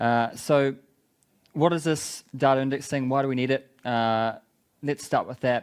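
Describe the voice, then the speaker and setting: Slow-ish delivery from a man in a strong New Zealand accent, medium in pitch, with fairly even intonation and long, frequent pauses. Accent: thick New Zealand. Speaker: tech company business development lead. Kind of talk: conference talk.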